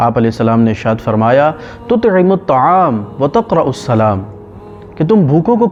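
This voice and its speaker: With noticeable background noise behind him, a man talks at a fairly high pitch. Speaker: Islamic scholar giving a lecture. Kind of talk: religious sermon / lecture.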